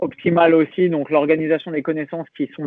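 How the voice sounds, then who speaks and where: Fairly quick pace from a man with a fairly high pitch. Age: 30s. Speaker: fitness coach. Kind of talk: podcast interview. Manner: hesitant with many fillers.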